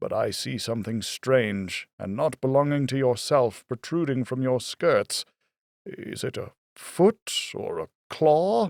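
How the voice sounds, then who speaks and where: A man does a put-on character voice at a medium pitch and a fairly slow pace. The recording is very clean, with a silent background and a dry, close sound with no echo. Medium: read story.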